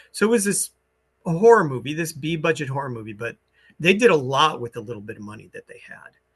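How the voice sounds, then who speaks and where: Speaking at a very fast pace, a man with a fairly high pitch and a somewhat breathy voice makes very wide pitch swings and big swings in loudness. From rural US. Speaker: musician. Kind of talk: interview.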